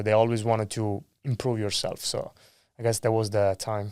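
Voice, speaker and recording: Recorded very cleanly with a silent background, a man talks at a fairly quick pace. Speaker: solar sales rep. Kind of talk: podcast interview. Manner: animated.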